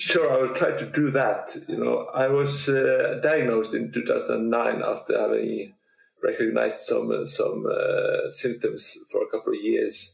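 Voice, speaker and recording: The speaker talks at a fairly slow pace. The voice carries a Norwegian accent. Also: man. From Norway. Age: 40s. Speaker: Parkinson's advocate and retired teacher. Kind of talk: casual interview. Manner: halting, with many repeats.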